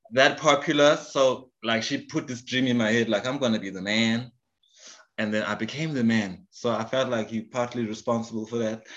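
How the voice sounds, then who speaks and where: A man in a normal speaking voice, medium pitch, fairly even intonation and moderate pace, over a quiet background. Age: 40s. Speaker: podcast host. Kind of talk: casual chat.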